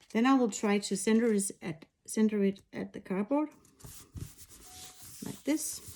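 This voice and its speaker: A woman speaks with a non-native accent and a dark, mellow tone at a fairly high pitch. Her pitch variation is ordinary, and she leaves long, frequent pauses. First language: not English. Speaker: machine embroidery designer. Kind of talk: tutorial. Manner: halting, with frequent fillers.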